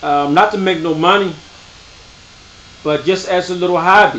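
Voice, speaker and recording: A man with a high pitch, against noticeable background noise. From US, Baltimore. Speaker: parenting video host, father. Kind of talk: tutorial. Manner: casual, conversational.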